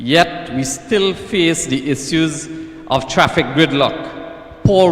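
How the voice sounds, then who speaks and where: A man with a Trinidadian accent speaks at a very slow pace and a high pitch, with ordinary pitch variation. Noticeable background noise is present. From Trinidad and Tobago, Marabella/Claxton Bay. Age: 30s. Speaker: political candidate. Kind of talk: political speech. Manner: formal.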